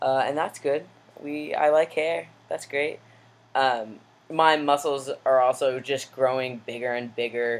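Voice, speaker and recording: At a fairly slow pace, a man with a plain, everyday voice speaks at a medium pitch with fairly even intonation. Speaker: vlogger. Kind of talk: personal video diary. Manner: casual with many fillers.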